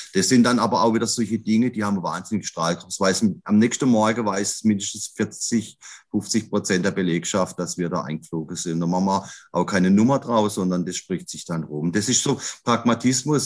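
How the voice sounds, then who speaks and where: At a moderate pace, a man with a plain, everyday voice speaks at a fairly low pitch with ordinary pitch variation, recorded very cleanly against a silent background. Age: 50s. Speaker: grocery retail executive, trained butcher. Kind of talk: podcast interview.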